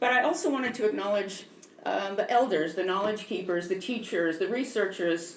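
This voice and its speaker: A woman talks at a fairly quick pace with a medium pitch and lively intonation. Noticeable background noise and audible room echo fill the recording. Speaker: museum educator and former park interpreter. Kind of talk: public lecture. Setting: museum talk with live audience, PA microphone. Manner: loud.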